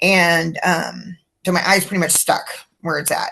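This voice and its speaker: With a West Coast accent, the speaker talks at a fairly slow pace against a quiet background. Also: woman. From California (Livermore). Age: 60s. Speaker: brain tumor patient. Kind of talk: interview. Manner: hesitant, many fillers.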